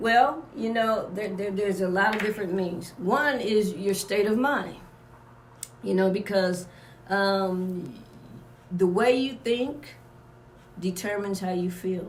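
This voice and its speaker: The voice is somewhat breathy, with ordinary pitch variation and audible room echo. It moves at a fairly slow pace, broken by long, frequent pauses. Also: woman, medium pitch for a woman. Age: 60s. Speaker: wellness workshop leader and aromatherapist. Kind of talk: radio interview. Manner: halting, many fillers and repetitions.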